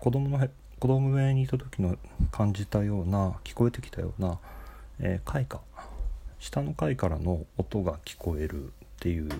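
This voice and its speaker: A somewhat breathy, dark and mellow voice with very wide pitch swings and long, frequent pauses. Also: man, very deep, low pitch for a man, moderate pace. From Japan, Nagoya. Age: 40s. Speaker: podcaster. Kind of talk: solo monologue. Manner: halting, many fillers.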